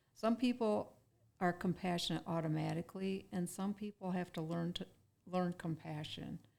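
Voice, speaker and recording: In an ordinary speaking voice, a woman talks at a moderate pace with a fairly low pitch. Her pitch varies in an ordinary way. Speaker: brain injury survivor. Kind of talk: interview.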